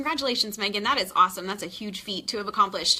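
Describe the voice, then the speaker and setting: A woman with an American accent and ordinary pitch variation, noticeable background noise behind her. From Texas. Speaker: nurse practitioner and nursing tutor. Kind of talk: live-streamed tutoring lesson. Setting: live stream. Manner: fast; animated.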